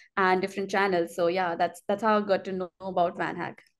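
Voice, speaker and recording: Against a quiet background, a woman talks in a monotone, flat intonation. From India. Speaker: software developer. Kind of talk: interview. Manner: hesitant with many fillers.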